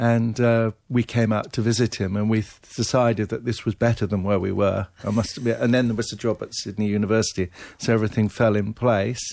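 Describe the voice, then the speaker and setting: A man with a fairly low pitch talks at a fairly quick pace in a monotone, flat intonation, recorded very cleanly against a silent background. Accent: English. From England, Devon. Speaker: ear surgeon and professor. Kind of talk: radio interview.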